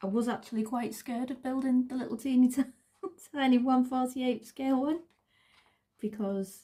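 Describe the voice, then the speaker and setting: Her voice is high for a woman and dark, mellow in tone, with a strong northern English accent. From northern England. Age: 40s. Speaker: craft vlogger. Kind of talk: casual crafting vlog. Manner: halting, repeats words.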